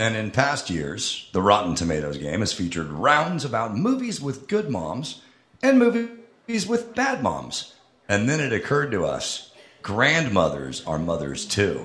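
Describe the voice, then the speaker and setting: Through noticeable background noise, a man talks at a fairly slow pace. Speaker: podcast co-host. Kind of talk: live comedy podcast. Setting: stage with audience.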